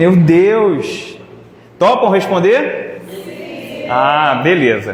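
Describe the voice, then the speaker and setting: A loud, animated man at a high pitch, with audible room echo and noticeable background noise. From Rio de Janeiro, Brazil (Irajá). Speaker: spiritist lecturer. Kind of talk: lecture. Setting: hall with live audience.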